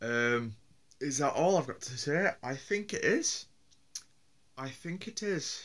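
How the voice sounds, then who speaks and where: Long, frequent pauses break up this man's speech, delivered in a strong Yorkshire accent. His fairly high pitch moves in very wide swings. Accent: broad Yorkshire. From Yorkshire, northern England. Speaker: vlogger. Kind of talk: casual vlog monologue. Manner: halting, with many fillers and repeats.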